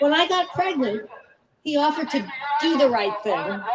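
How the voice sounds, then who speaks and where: With an American accent, a woman talks at a moderate pace in a high pitch. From New Jersey. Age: 70s. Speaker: activist speaking at a political rally. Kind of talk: personal testimony at rally. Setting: outdoor rally with audience.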